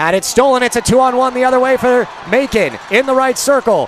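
A man bellows in a raised, projected voice. The sound is dry with no echo, with noticeable background noise. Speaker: play-by-play announcer. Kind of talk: live hockey play-by-play commentary. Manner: builds to a roaring crescendo on the overtime winner. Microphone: headset.

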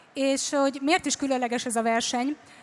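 The speech runs at a fairly slow pace in a monotone, flat intonation. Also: woman. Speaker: event host. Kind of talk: stage announcement. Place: stage. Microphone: handheld.

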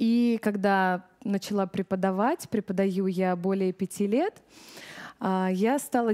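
The background is quiet while a woman talks with a dark, mellow tone. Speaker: vocal teacher giving seminar. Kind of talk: lecture. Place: hall. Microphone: headset.

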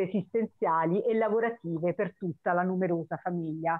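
In a quiet background, a woman speaks at a moderate pace. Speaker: poetry reading host. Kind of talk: event introduction and poet presentation. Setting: online video call. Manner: hesitant, many filler sounds. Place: home room. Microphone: video call.

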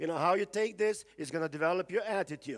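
A man with a high pitch and ordinary pitch variation.

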